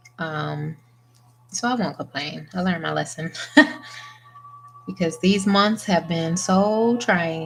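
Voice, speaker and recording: With music in the background, a woman talks at a very slow pace and fairly low pitch, with ordinary pitch variation and long, frequent pauses. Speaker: press-on nail artist. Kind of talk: tutorial. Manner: soft-spoken.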